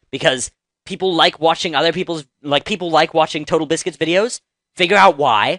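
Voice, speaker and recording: A man with a bright, sharp tone talks at a fairly quick pace. His pitch is fairly high, with ordinary variation. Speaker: gaming YouTuber. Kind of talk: casual tips monologue. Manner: casual, halting with fillers.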